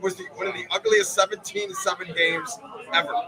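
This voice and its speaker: Someone speaks with an American accent in a raised, projected voice. Crowd noise fills the background. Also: man. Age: 60s. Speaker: sports fan. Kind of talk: casual interview at fan event. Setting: live stream from fan party.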